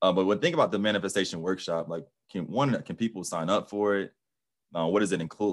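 Talking very fast over a quiet background, a man uses a very deep, low pitch with ordinary variation. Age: 30s. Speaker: podcast host. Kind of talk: casual interview chat. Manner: casual.

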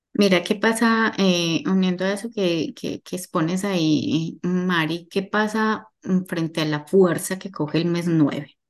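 A woman with an ordinary speaking voice, medium pitch and ordinary pitch variation, at a fairly slow pace against a quiet background. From Colombia, Medellín. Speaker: holistic therapist and numerologist. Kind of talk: casual interview chat.

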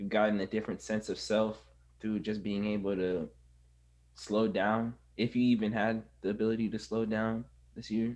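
A man speaks in a monotone with flat intonation. His pitch is medium and his pace moderate. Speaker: podcast host. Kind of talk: casual interview.

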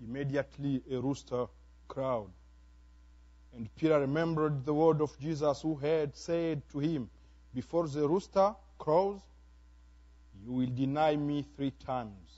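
A man with a Congolese accent speaks fairly slowly at a fairly high pitch, with long, frequent pauses. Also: ordinary pitch variation. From DR Congo. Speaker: pastor. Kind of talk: sermon. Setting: church. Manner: animated.

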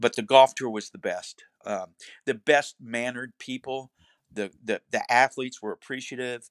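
An ordinary speaking voice from a man in an American accent, medium in pitch, at a moderate pace with fairly even intonation and big swings in loudness, dry and close with no echo on a very clean recording with a silent background. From Florida (Cocoa Beach). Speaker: former athletic trainer. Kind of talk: interview.

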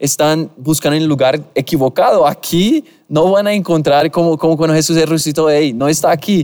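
With a Portuguese accent, a man talks at a fairly quick pace. His pitch is fairly high and his intonation fairly even. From Brazil. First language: Portuguese (speaking Spanish). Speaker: podcast host. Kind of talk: casual interview chat. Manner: halting.

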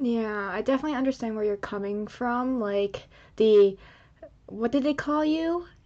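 This woman has a fairly high pitch, a dark, mellow tone and an American accent. She talks at a moderate pace with ordinary pitch variation. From United States, Chinese immigrant family. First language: Chinese. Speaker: podcast co-host. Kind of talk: casual chat.

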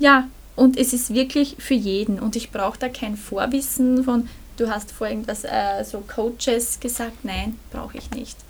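Against noticeable background noise, a woman speaks at a fairly slow pace and fairly high pitch, with fairly even intonation and big swings in loudness. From Burgenland, Austria. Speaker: energy healer, author, former social worker. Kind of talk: casual interview. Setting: in person.

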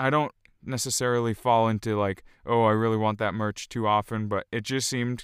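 On a very clean recording with a silent background, a man with a fairly low voice speaks at a moderate pace. His tone is clear, smooth and fairly bright, with fairly even intonation.

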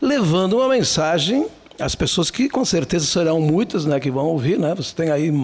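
High-pitched male speech with very wide pitch swings over noticeable background noise. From southern Brazil, Serra Gaúcha (Flores da Cunha). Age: 60s. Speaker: writer and speaker. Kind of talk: casual interview.

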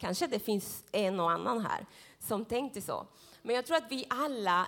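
The woman's voice sits fairly high in pitch. Her tone is animated. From Central America. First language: Spanish (speaking Swedish). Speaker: preacher. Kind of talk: sermon. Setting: church. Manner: consciously slow.

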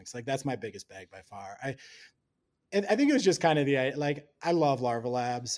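A man with an ordinary speaking voice at a medium pitch talks at a fairly quick pace. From US Midwest, Wisconsin. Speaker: NFT research director. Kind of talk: casual interview.

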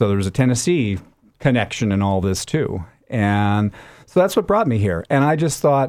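A man speaks with an American accent in a fairly low pitch and a dark, mellow tone. His pace is fairly quick, and the recording is very clean with a silent background. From Minnesota, US Midwest. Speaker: public radio host. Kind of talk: interview.

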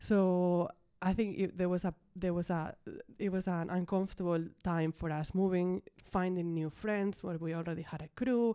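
At a moderate pace, a woman speaks with a Spanish accent in a fairly low, dark, mellow voice with fairly even intonation. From Ibiza, Spain. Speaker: interior designer. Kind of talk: interview. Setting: studio.

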